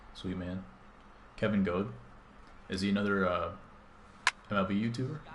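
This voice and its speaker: With an American accent, a man mumbles at a fairly quick pace in a fairly low pitch with ordinary pitch variation and long, frequent pauses, and audible room echo surrounds him. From US Midwest, Chicago. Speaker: gaming streamer. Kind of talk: live gameplay stream chat. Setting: live stream. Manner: mumbling.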